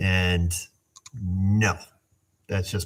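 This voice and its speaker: A man mumbles his words. His pitch sits fairly low. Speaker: auto mechanic hosting a livestream. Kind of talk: casual livestream chat reading comments. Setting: live stream on camera. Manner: mumbling.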